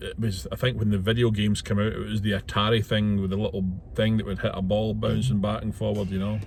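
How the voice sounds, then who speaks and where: In a Scottish accent, a man with a fairly low pitch talks at a fairly quick pace, somewhat breathy, with fairly even intonation and audible room echo. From Scotland, west coast (Ayrshire). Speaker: truck driver and vlogger. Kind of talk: casual vlog monologue. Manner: hesitant, with fillers.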